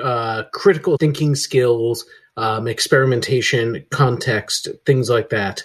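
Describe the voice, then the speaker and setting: Speaking with hardly any pauses at a fairly slow pace, a man uses a somewhat breathy, medium-pitched voice with ordinary pitch variation. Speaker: podcast host. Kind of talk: podcast hosting, conversational.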